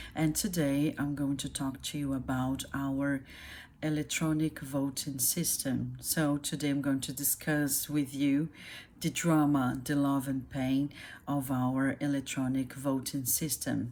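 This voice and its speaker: On a very clean recording with a silent background, a woman with a Brazilian Portuguese accent speaks at a very deep, low pitch in a monotone, flat delivery at a fairly slow pace. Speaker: YouTuber explaining her country. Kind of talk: casual explainer monologue. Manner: halting, many fillers.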